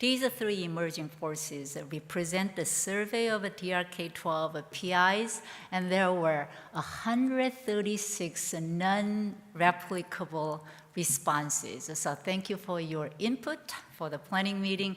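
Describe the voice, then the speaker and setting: A woman at medium pitch with a non-native accent, at a fairly slow pace. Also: ordinary pitch variation. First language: not English. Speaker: education researcher, professor. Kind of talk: conference keynote address.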